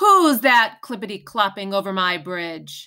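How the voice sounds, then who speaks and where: A woman bellows in a gruff, put-on character voice at medium pitch. Her pace is moderate. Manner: roaring, gruff.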